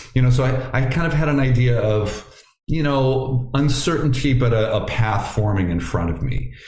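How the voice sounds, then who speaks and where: A man with an American accent talks at a moderate pace and a medium pitch with ordinary pitch variation. His loudness stays very even, and audible room echo is present. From Ohio, US Midwest. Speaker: yoga teacher and former family doctor. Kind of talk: interview conversation. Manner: halting, many repeated words.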